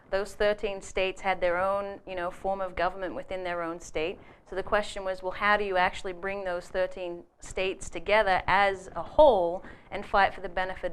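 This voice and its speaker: A fairly quick, monotone, flat delivery with an American accent. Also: woman. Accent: Australian accent with an American tinge. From Australia. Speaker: political organiser. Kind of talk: interview.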